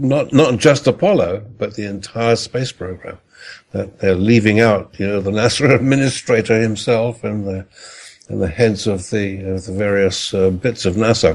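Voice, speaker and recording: At a moderate pace, a man with an ordinary speaking voice talks in a fairly low pitch with ordinary pitch variation. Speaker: astronomer guest expert. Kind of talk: interview.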